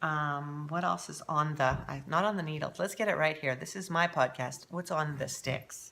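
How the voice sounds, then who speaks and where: Someone with a Canadian accent speaks at a moderate pace with hardly any pauses. The tone is bright, sharp and animated, with vocal fry. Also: woman, very deep, low pitch for a woman, ordinary pitch variation. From Canada. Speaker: knitting podcaster. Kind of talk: casual chat.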